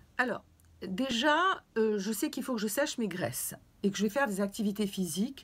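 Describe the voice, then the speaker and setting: On a very clean recording with a silent background, a woman with a fairly high pitch and lively intonation speaks somewhat breathily at a fairly quick pace, with long, frequent pauses. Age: 60s. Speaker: fitness and weight-loss vlogger. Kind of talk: video talk, advice to viewers. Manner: hesitant with fillers.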